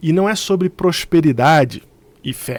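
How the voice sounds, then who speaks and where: The intonation is lively. The speaker has a Carioca accent. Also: man. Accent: carioca Brazilian Portuguese. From Rio de Janeiro, Brazil. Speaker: theologian and former pastor. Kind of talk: religious teaching video. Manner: conversational.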